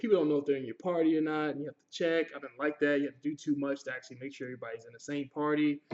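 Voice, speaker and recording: Speaking at a very fast pace with hardly any pauses, a man with a fairly high pitch lets his loudness swing widely. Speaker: gaming youtuber. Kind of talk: game review. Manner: animated.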